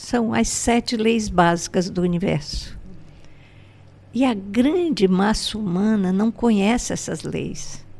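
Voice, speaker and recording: A woman at a medium pitch and a very slow pace, with ordinary pitch variation. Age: 80s+. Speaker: spiritual teacher and entrepreneur. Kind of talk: podcast interview.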